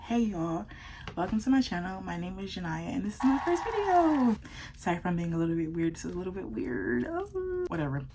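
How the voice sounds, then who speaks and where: Whispered speech at a very fast pace. There is noticeable background noise. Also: woman. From US South, South Florida. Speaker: beauty vlogger. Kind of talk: casual chat. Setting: at home at night. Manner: whispering.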